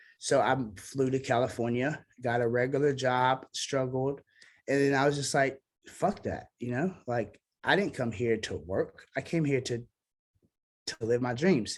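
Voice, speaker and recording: On a very clean recording with a silent background, the speaker talks at a fairly slow pace with a Southern US accent and ordinary pitch variation. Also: man, medium pitch for a man. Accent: Southern twang. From US South (Memphis, Tennessee and Mississippi). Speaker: singer-songwriter. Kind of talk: casual interview chat.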